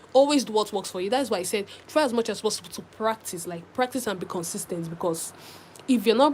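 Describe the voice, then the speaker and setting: A woman speaks at a very fast pace with ordinary pitch variation. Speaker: crochet tutorial creator. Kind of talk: live stream tutorial chat.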